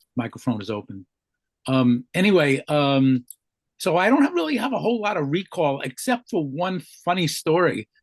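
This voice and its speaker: Pitch swings very widely in this man's fairly high voice. He keeps a moderate pace, and the sound is dry and close with no echo. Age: 70s. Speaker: amateur radio operator, panel member. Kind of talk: radio round table discussion. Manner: halting, many fillers.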